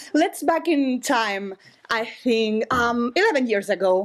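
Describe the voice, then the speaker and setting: Speaking very slowly with a Spanish accent, a woman uses lively intonation and a high pitch. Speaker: storyteller at live show. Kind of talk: live storytelling. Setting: stage with audience. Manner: halting.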